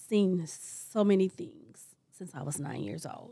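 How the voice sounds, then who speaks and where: The recording is very clean, with a silent background. A woman speaks very slowly at a medium pitch, her intonation lively. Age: 60s. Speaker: self-published author and magazine creator. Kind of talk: interview.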